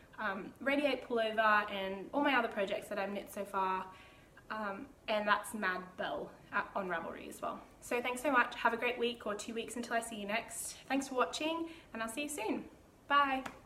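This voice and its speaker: A woman with a fairly high pitch talks at a moderate pace against noticeable background noise. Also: ordinary pitch variation. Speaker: knitting podcaster. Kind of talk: casual video podcast talk. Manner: rambling, many filler ums.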